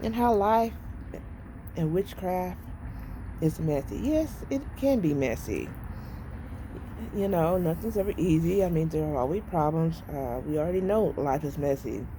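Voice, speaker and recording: Her voice fairly low, a woman speaks at a fairly slow pace with audible room echo. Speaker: witchcraft vlogger. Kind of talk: casual vlog monologue. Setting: outdoors on porch. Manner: halting.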